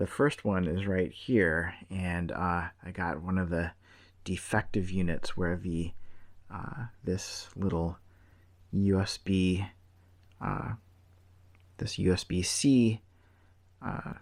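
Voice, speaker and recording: A quiet man speaks at a very slow pace in a very deep, low voice, with long, frequent pauses and fairly even intonation. The recording is very clean, with a silent background. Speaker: tech reviewer. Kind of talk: product review.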